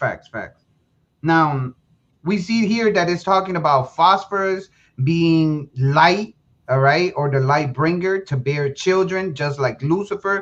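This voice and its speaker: A Spanish accent at a fairly slow pace. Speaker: presenter of a lecture. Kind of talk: lecture. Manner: halting, many repeated words.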